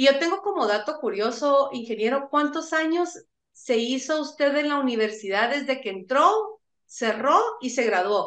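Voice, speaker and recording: A woman's high voice with very wide pitch swings at a fairly slow pace. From Guatemala. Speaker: university radio host. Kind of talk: radio interview.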